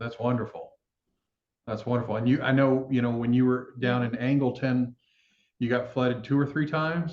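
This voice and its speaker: Long, frequent pauses break up a man's speech at a moderate pace. His intonation stays fairly even. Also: medium pitch for a man. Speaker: plant-based food company founder, interviewer. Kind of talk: interview questions, casual conversation.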